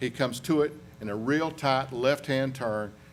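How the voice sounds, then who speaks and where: With a Southern accent, a man talks at a medium pitch with ordinary pitch variation, and the room echo is audible. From US South, western North Carolina. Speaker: aviation accident investigator. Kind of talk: conference presentation.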